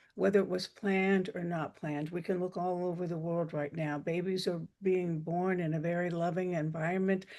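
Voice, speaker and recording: At a moderate pace, a woman speaks in a fairly low pitch with a dark, mellow tone and monotone, flat intonation. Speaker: breathwork teacher. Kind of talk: guided meditation. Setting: video call. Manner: soft-spoken.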